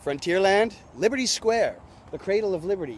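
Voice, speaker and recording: The man's voice is high in pitch, and he keeps a moderate pace. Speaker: travel vlogger. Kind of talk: casual on-location tour narration. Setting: outdoors at a fort by the water. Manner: animated; loud, yelling over wind.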